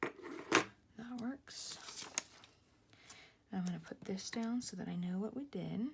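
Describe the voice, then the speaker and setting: A woman of fairly high pitch and lively intonation, very slow with long, frequent pauses, amid noticeable background noise. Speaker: planner vlogger. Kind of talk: casual tutorial. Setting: at home. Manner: whispering.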